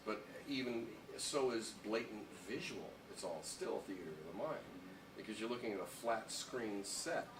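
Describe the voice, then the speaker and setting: Noticeable background noise sits behind a man speaking at a moderate pace. His pitch is medium and his intonation lively. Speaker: former morning radio host. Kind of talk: interview answer.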